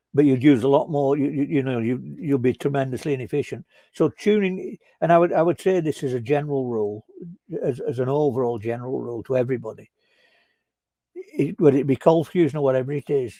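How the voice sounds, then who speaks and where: A man with a Northern English accent, a dark, mellow tone, ordinary pitch variation and a fairly quick pace. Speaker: software consultant. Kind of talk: conference talk discussion. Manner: halting, many fillers.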